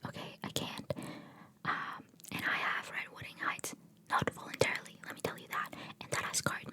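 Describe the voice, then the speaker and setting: A woman whispering at a fairly quick pace over noticeable background noise. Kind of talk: ASMR book haul, casual talk to camera. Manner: whispered, rambling.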